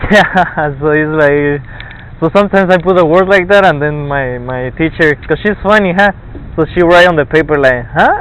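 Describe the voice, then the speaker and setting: A man with a fairly high voice speaks at a moderate pace over noticeable background noise. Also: ordinary pitch variation. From Argentina. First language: Spanish. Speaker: college student. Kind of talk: casual chat. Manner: halting.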